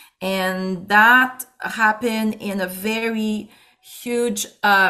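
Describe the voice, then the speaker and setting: A woman's bright, sharp voice at medium pitch with fairly even intonation, in a Quebec accent. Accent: Québécois French. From Quebec City, Quebec. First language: French. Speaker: pastor and musician. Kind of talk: interview.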